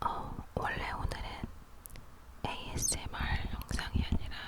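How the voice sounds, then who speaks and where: Whispering at a very slow pace, with noticeable background noise. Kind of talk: ASMR whispered talk. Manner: whispered, soft-spoken.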